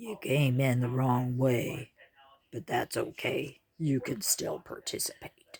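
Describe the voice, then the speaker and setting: A put-on character voice from a man, fairly slow. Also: medium pitch for a man. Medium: read story. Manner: matter-of-fact.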